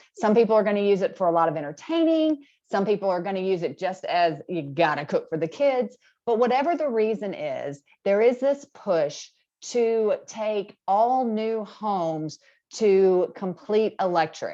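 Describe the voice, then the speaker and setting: A woman at medium pitch speaks at a moderate pace in a dark, mellow tone with very wide pitch swings. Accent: Alabama. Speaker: appliance industry presenter. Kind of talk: webinar presentation. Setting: video call. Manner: casual, conversational.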